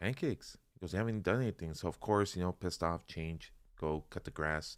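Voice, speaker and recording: Speaking at a fairly quick pace, a man has a very deep, low voice. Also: ordinary pitch variation. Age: 40s. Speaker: life insurance agent and financial educator. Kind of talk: casual interview chat.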